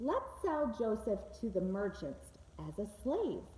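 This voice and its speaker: A woman uses a rumbling, put-on character voice at a fairly slow pace, with light background noise behind her. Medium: read story. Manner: resentful, grumbling.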